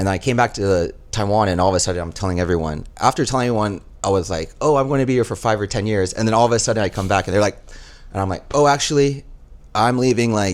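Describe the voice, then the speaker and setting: A man talks at a very fast pace in a Texas accent. His pitch sits fairly low. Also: ordinary pitch variation. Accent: American, Texas. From Texas, Dallas area. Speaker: flight attendant. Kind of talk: casual chat.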